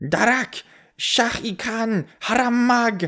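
A female-sounding put-on character voice with a fairly high pitch and a very slow pace. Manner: squealing.

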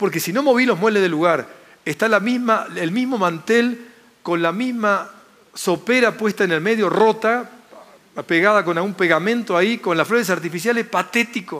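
At a moderate pace, a man talks with a high pitch and ordinary pitch variation. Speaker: speaker. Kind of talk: motivational lecture. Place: hall. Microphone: headset.

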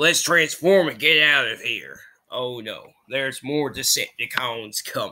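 In a put-on character voice with a Southern US accent, a man talks at a fairly slow pace and a fairly high pitch, on a very clean recording with a silent background. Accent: southern American. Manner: tough, heroic, commanding.

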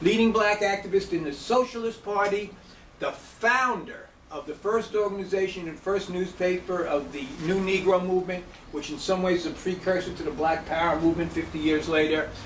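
Speech moves at a fairly quick pace. Light background noise and audible room echo are present. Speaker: lecturer. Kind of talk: lecture. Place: hall. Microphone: camera far.

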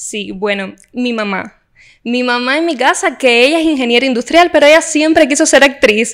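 Speech at a moderate pace with ordinary pitch variation sits on a very clean recording with a silent background. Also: woman, high pitch for a woman. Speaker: actress and TV presenter. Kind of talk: interview.

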